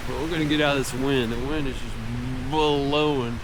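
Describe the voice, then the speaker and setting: With audible room echo and noticeable background noise, a man speaks in a fairly even intonation. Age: 60s. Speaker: fly fishing vlogger. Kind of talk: casual vlog narration. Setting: outdoors by a river.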